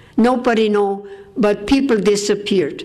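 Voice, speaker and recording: Over noticeable background noise, a woman speaks at a fairly slow pace in a fairly high voice with ordinary pitch variation. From Austria. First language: German. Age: 80s+. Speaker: war survivor speaker. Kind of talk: testimony.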